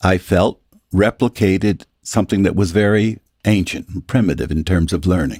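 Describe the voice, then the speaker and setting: The voice has vocal fry. The sound is dry and close, with no echo. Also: man. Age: 70s. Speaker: reverend and podcast host. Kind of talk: contemplative conversation. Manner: halting.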